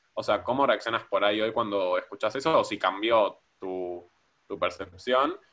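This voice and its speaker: A man talks at a moderate pace with a Rioplatense accent. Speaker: podcast co-host. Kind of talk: podcast interview.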